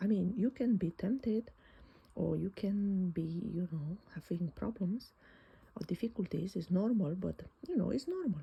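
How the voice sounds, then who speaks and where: A non-native accent marks this voice. Its speed is moderate. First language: not English. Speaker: Bible journaling teacher. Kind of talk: bible study talk. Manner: hesitant, with many fillers.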